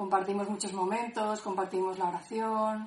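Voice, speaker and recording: This woman has an unremarkable speaking voice at medium pitch. She talks at a fairly slow pace with fairly even intonation. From Benicarló, Castellón, Spain. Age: 30s. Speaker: discipleship school participant. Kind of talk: personal testimony.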